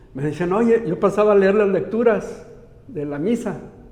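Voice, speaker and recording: A man talks at a moderate pace with ordinary pitch variation, his voice carrying audible room echo. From Mexico, Aguascalientes. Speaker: lay missionary. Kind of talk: interview. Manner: halting, with many repetitions and false starts.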